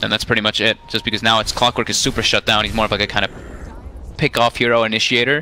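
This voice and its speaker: A man talks at a very fast pace, the sound dry and close with no echo. Noticeable background noise is present. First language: not English. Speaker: esports commentator. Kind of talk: live commentary.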